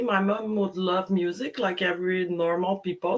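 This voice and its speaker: Someone with a Quebec accent talks at a moderate pace against noticeable background noise. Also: woman. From Quebec, Montreal. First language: French. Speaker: DJ. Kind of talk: casual interview. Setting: live stream video call.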